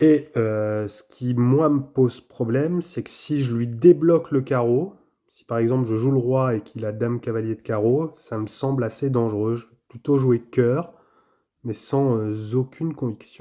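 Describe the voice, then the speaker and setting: A man talks at a fairly slow pace in a dark, mellow tone, with ordinary pitch variation, big swings in loudness and a quiet background. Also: medium pitch for a man. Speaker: tarot player commentator. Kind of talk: live commentary of own card game. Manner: hesitant, many filler sounds.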